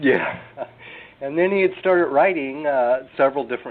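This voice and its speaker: Speaking with an American accent, a man talks at a moderate pace and a fairly high pitch with ordinary pitch variation. Noticeable background noise runs underneath. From US West Coast, California. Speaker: drummer. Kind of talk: casual interview. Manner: halting, many fillers.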